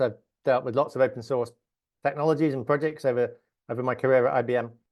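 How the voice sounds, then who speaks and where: A man with an English accent talks at a very fast pace. His pitch is medium and his intonation fairly even. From England. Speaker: software engineer. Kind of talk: interview.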